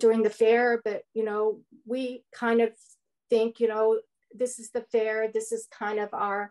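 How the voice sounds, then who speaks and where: With a Canadian accent, the speaker uses monotone, flat intonation at a fairly slow pace, showing big swings in loudness. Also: woman. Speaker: local resident, community activist. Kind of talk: webinar discussion. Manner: halting, repeating words.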